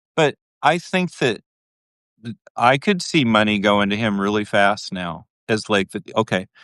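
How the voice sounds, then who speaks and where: With an American accent, a man talks at a fairly slow pace in a fairly low pitch with lively intonation, the sound dry and close with no echo, the recording very clean over a silent background. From US Midwest, Minnesota. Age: 60s. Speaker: journalist. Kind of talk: casual chat. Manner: halting.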